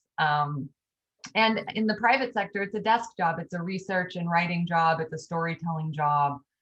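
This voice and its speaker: A woman's fairly low voice, an unremarkable speaking voice, at a moderate pace with ordinary pitch variation. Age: 40s. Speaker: author and EMT. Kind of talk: interview.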